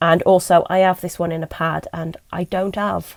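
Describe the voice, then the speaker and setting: A woman talks at a moderate pace. She has an English accent. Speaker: miniature crafting YouTuber. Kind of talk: tutorial. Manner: hesitant, many ums.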